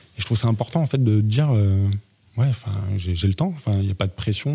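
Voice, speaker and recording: A man talks at a fairly quick pace, his pitch medium and his voice somewhat breathy. The tone is dark and mellow. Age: 30s. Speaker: visual effects artist and photographer. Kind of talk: casual chat.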